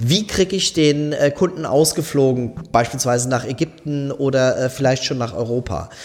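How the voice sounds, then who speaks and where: A man with a plain, everyday voice, fairly high in pitch, at a moderate pace with hardly any pauses. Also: ordinary pitch variation. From southwestern Germany. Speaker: company managing director. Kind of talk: casual interview.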